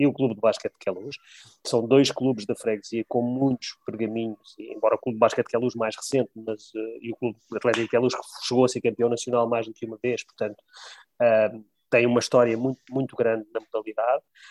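In a dry, close recording with no echo, a man talks fairly quickly in a flat, monotone delivery. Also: medium pitch for a man. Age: 50s. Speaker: bank employee and local election candidate. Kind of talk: interview.

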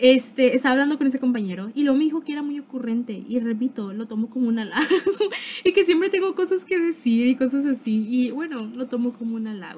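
A woman's high-pitched, animated voice at a very fast pace, lively intonation over noticeable background noise. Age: young. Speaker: podcaster. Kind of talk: casual monologue.

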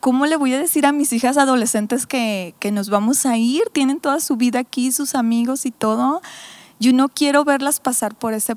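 The sound is dry and close, with no echo. A woman talks at a moderate pace in a high pitch, with ordinary pitch variation. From Mexico, Mazatlán (Sinaloa). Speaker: pastor. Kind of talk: casual chat.

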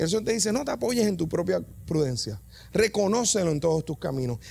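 A man with a Puerto Rican accent, high-pitched and animated, speaking very fast with very wide pitch swings. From Puerto Rico, Yabucoa. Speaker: preacher. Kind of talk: sermon. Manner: halting.

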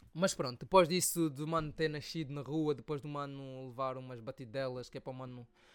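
This man has an unremarkable speaking voice, talking at a fairly quick pace with medium pitch and ordinary pitch variation. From Angola (Soyo). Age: 20s. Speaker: podcast host and rapper. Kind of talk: casual solo storytelling.

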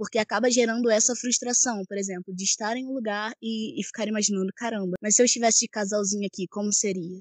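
Her fairly high voice runs at a very fast pace with hardly any pauses and fairly even intonation, recorded dry and close with no echo over a quiet background. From Teresópolis, Rio de Janeiro state, Brazil. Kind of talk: casual faith discussion.

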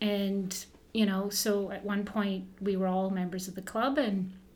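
With a Canadian accent, a woman speaks fairly slowly at a medium pitch while audible room echo surrounds her voice. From Canada, Southern Ontario (Burlington); born in northern Ontario. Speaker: former Olympic runner, running coach and shoe shop owner. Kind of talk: casual interview.

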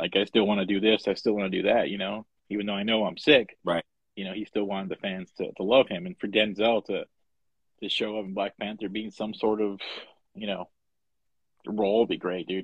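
Speaking at a fairly quick pace, a man with a fairly low pitch leaves long, frequent pauses. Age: 40s. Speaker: podcast co-host. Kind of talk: casual chat. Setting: live Instagram broadcast. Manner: animated.

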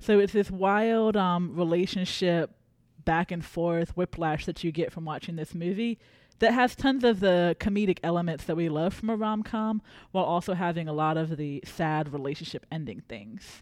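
In an American accent, a woman uses an ordinary speaking voice with a fairly low pitch and ordinary pitch variation. She keeps a moderate pace on a very clean recording with a silent background. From South Carolina. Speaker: librarian, podcast co-host. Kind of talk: casual book discussion.

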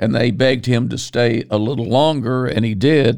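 A man with an American accent talks at a medium pitch with lively intonation and vocal fry. The recording is very clean, with a silent background. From Virginia, US. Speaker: preacher. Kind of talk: sermon. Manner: halting.

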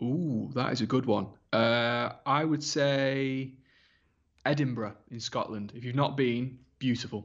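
With a Lancashire accent, a man talks at a fairly slow pace in a medium pitch and fairly even intonation. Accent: northern English (Lancashire). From northern England, Wigan. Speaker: football presenter and reporter. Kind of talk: casual interview. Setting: remote call.

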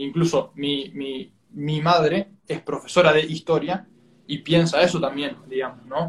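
A man speaks at a fairly high pitch and a fairly slow pace. His intonation stays fairly even. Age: 20s. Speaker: student interviewer. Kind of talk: interview. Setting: Instagram live stream. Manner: halting.

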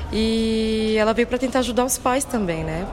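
This is a woman speaking at a fairly high pitch. Noticeable background noise runs beneath her voice. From São Paulo city, Brazil. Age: 30s. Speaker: dancer and arts educator. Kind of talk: interview.

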